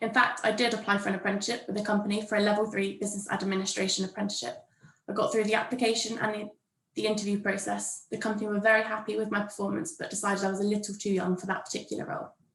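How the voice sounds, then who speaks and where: A woman's very fast delivery in a monotone, flat intonation. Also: medium pitch for a woman. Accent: southern English. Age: 20s. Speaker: university administrator, former apprentice. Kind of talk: prepared talk at a workshop. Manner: read from a script.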